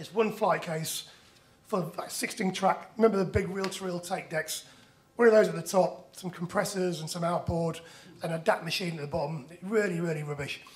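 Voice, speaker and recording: A man talks at a fairly quick pace with a high pitch. Noticeable background noise and audible room echo come through. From northern England, Leeds. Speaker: musician and startup founder. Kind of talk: conference presentation. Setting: stage with audience.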